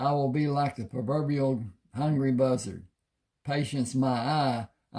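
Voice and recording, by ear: Reading aloud in a natural voice, with fairly even intonation over a quiet background.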